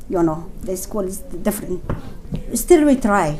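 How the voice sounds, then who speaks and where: A woman speaks with fairly even intonation. There is audible room echo and noticeable background noise. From Afghanistan. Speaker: refugee, former teacher trainer. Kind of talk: testimony. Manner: halting.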